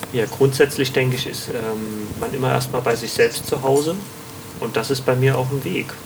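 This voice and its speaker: Through noticeable background noise, a man speaks at a medium pitch and a moderate pace with fairly even intonation. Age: 30s. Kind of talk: interview. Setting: on location at the community.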